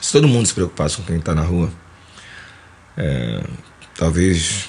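A man speaks in a Carioca accent over noticeable background noise. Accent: carioca Brazilian Portuguese. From Rio de Janeiro, Mangueira. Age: 50s. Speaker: musician and composer. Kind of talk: casual interview.

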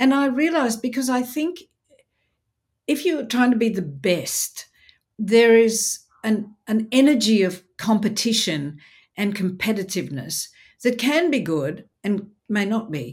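Somewhat breathy and fairly high in pitch, a woman speaks with an Australian accent and very wide pitch swings. Her pace is fairly slow, with long, frequent pauses. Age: 60s. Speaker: speaker and presenter. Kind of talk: casual interview. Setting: video call. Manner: animated.

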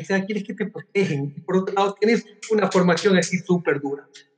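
A man talks at a very fast pace in a high voice, his pitch varying in an ordinary way. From Ecuador. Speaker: life coach. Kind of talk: interview. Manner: animated.

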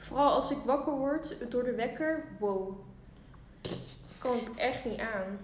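A high-pitched woman speaking very slowly with ordinary pitch variation and long, frequent pauses, amid noticeable background noise and audible room echo. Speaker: podcast co-host. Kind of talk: casual chat. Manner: calm.

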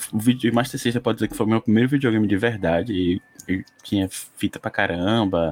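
A man with a plain, everyday voice speaks at a fairly quick pace and a fairly low pitch. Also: ordinary pitch variation. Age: 40s. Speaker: podcast co-host. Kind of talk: casual chat.

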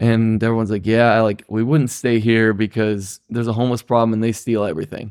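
A man with a Midwestern US accent and medium pitch speaks at a fairly quick pace with fairly even intonation, on a very clean recording with a silent background. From Ohio. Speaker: guest, cross-country cyclist and school worker. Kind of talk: casual storytelling.

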